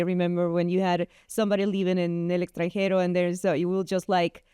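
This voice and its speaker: A woman with a Guatemalan accent and a dark, mellow tone at medium pitch speaks at a very fast pace, recorded very cleanly against a silent background in a dry, close sound with no echo. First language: Spanish. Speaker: entrepreneur and photographer. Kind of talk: interview.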